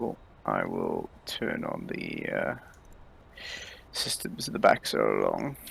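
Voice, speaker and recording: A man speaks very slowly, leaving long, frequent pauses, as noticeable background noise continues. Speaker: RIO (radar intercept officer) in flight sim, co-player. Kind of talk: casual talk while gaming, gameplay commentary.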